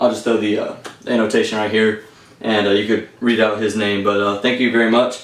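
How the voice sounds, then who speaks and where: A man with an American accent talks amid audible room echo. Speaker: airsoft YouTuber. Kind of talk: gear review monologue. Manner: halting, many fillers; casual.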